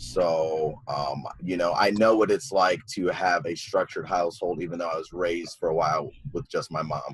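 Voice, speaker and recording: Over noticeable background noise, a man with a very deep, low voice and a Midwestern US accent speaks at a moderate pace with ordinary pitch variation and hardly any pauses. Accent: US Midwest. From Iowa, Sioux City. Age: 20s. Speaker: community member sharing experiences. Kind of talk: panel testimony.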